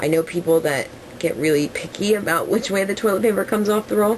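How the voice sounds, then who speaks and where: There is noticeable background noise as a woman with an American accent speaks at a fairly quick pace. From New Jersey. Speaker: vlogger. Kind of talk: casual Q&A vlog. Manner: rambling with fillers.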